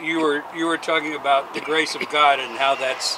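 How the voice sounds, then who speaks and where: Over noticeable background noise, a man with a fairly high pitch speaks at a moderate pace. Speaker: radio show host. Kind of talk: radio interview.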